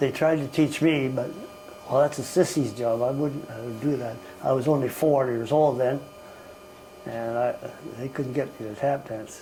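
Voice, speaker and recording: There is noticeable background noise as a man speaks at a moderate pace with medium pitch. His intonation is fairly even, broken by long, frequent pauses. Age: 80s+. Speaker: family elder recounting life history. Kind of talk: interview answer. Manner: reminiscing, rambling.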